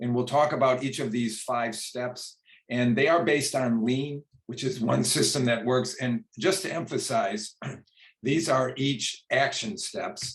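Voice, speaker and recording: The voice is somewhat breathy, with ordinary pitch variation and a fairly slow pace. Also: man, medium pitch for a man. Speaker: retired physician, quality improvement presenter. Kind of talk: lecture.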